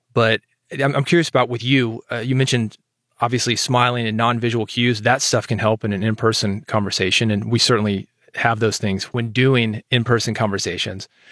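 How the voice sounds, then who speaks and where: A man's ordinary speaking voice at a medium pitch, fairly quick in pace, with fairly even intonation. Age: 40s. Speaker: podcast host and audience-building consultant. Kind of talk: interview conversation; scripted monologue intro. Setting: studio, audio-only recording.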